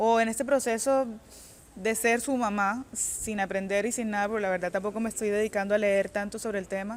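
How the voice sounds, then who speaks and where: A woman with a fairly high pitch talks at a fairly quick pace, her intonation fairly even. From Colombia, Cartagena. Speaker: author. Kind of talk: interview. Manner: halting.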